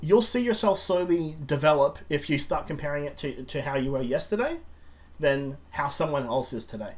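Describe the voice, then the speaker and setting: Lively in intonation and somewhat breathy, a man talks at a moderate pace with audible room echo. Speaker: indie game developer and podcast host. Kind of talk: casual chat. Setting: podcast recording. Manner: halting, many fillers.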